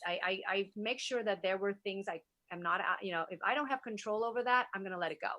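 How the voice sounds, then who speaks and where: A woman at a very fast pace, with medium pitch and ordinary pitch variation. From Vietnam, moved to US at nine. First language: Vietnamese. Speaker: wellness influencer and entrepreneur. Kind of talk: interview conversation.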